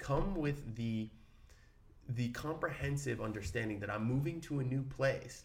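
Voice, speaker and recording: The speaker uses an American accent and a moderate pace. The voice is somewhat breathy, with ordinary pitch variation. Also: man, medium pitch for a man. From Brooklyn, New York. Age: 30s. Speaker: actor, podcast co-host. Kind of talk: casual chat.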